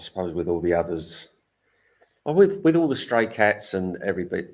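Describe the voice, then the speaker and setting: A man speaks with an English accent. His pace is fairly quick. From England. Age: 60s. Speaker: cat rescuer and vlogger. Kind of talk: live stream chat. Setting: live stream.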